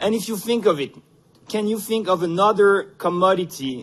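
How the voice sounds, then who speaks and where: A man speaks with a Quebec accent. His pitch varies in an ordinary way. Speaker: economics professor, conference speaker. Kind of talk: conference presentation. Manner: halting, many fillers.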